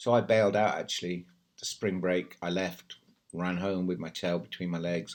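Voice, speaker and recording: A man with a very deep, low pitch, a fairly quick pace and fairly even intonation, on a very clean recording with a silent background. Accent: British. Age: 60s. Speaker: English teacher in China. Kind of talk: casual talk to camera.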